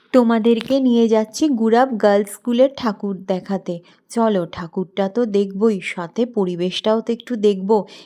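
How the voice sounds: Dark, mellow tone at a fairly quick pace, fairly even intonation, on a very clean recording with a silent background. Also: woman, medium pitch for a woman, few pauses.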